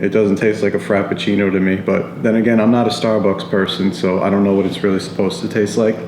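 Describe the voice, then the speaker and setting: Fairly low in pitch, a man speaks at a very fast pace with ordinary pitch variation and very even loudness. Audible room echo and noticeable background noise are present. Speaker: vlogger. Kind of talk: casual vlog review.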